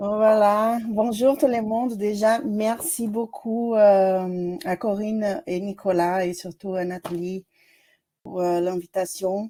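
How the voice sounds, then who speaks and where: At a very slow pace, a woman talks at a medium pitch with ordinary pitch variation and a dark, mellow tone. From Brazil. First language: Portuguese (speaking French). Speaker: doctoral student. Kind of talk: self-introduction in seminar. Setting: video call.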